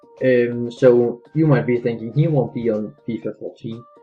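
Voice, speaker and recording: Speaking at a moderate pace, a man is heard with music in the background. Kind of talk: gaming commentary. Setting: low-quality microphone. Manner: hesitant, many filler words.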